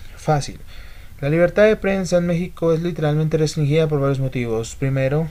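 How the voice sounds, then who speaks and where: A fairly high-pitched man with a Colombian accent, a dark, mellow tone, ordinary pitch variation, and a fairly quick pace. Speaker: YouTube political commentator. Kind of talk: political commentary video. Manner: calm, not very effusive.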